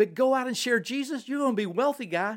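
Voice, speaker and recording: At a very fast pace, a man speaks at an extremely high pitch with ordinary pitch variation, in a very clean recording with a silent background. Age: 60s. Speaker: seminary professor. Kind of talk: casual theological discussion. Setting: in person at a host's home. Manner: animated, joking.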